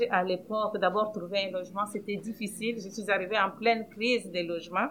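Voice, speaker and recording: In a normal speaking voice, a woman talks with medium pitch and fairly even intonation. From Democratic Republic of the Congo. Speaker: housing cooperative director. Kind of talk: personal testimony.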